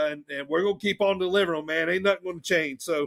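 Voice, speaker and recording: A man's high, bright, sharp voice with fairly even intonation. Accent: Southern. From US South. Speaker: wrestling podcast host. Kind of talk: casual chat.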